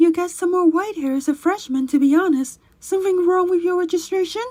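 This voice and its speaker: A woman's squeaky, put-on character voice, extremely high in pitch, at a fairly quick pace. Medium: audio drama.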